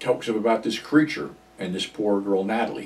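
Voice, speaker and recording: Lively intonation accompanies a moderate pace. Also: man. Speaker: movie reviewer. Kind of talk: casual film commentary. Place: home room.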